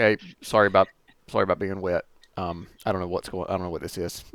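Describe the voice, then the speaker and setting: A man mumbles very fast in a put-on character voice that is raspy and very deep, low in pitch. His intonation is monotone and flat, on a very clean recording with a silent background. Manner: mumbling, muttered under the breath; embarrassed, apologetic.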